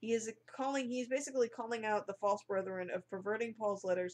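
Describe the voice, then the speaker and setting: A woman talks fairly quickly at a fairly high pitch, with ordinary pitch variation. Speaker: online Bible teacher. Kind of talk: bible study monologue. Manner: halting.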